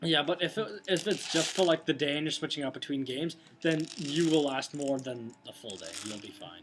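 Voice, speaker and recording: A man's fairly high voice with a Canadian accent, hardly any pauses and big swings in loudness, over noticeable background noise. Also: ordinary pitch variation. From Canada. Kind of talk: casual product review to camera. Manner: fast.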